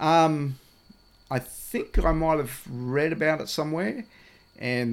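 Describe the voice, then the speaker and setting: A man with an Australian accent, very slow pace, and ordinary pitch variation. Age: 60s. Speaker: off-grid landowner and river paddler. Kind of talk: casual interview. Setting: recorded at a wilderness lodge. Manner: halting, many fillers.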